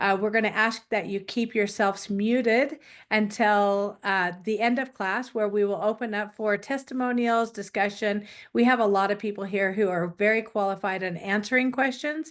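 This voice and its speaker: A woman uses a plain, everyday voice at a fairly high pitch, with fairly even intonation. She keeps a moderate pace against a quiet background. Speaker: wellness class instructor. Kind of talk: online class presentation.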